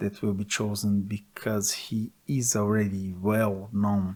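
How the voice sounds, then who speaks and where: Speaking at a fairly slow pace, a man with a Portuguese accent has a fairly low pitch and a dark, mellow tone. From Brazil. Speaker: gaming commentator. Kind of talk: opinion monologue.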